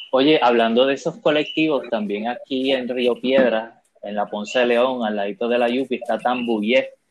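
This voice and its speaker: There are hardly any pauses as a man speaks at a moderate pace in a normal speaking voice. His pitch is medium, with fairly even intonation. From Puerto Rico. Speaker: podcast host. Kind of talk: panel discussion.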